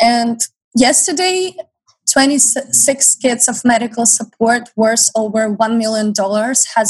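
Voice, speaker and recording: A woman talks at a fairly slow pace in a fairly high, somewhat breathy voice with ordinary pitch variation, recorded dry and close with no echo. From Ukraine. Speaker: college student and volunteer. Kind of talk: radio interview.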